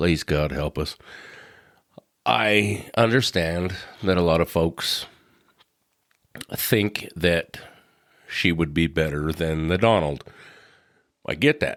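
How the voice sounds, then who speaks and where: A man's very deep, low voice with ordinary pitch variation, delivered at a very slow pace with long, frequent pauses. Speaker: podcast host. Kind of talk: solo podcast monologue. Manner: casual, rambling.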